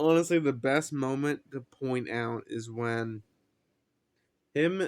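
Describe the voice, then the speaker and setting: A medium-pitched man at a very slow pace, with ordinary pitch variation. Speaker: anime reviewer. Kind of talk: casual video commentary. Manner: halting, stuttering at times.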